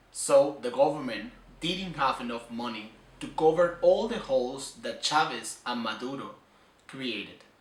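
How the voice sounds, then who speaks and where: Amid audible room echo and noticeable background noise, a man with a fairly high pitch speaks fairly slowly, with lively intonation and big swings in loudness. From Venezuela. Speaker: student. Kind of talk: personal commentary. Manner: halting.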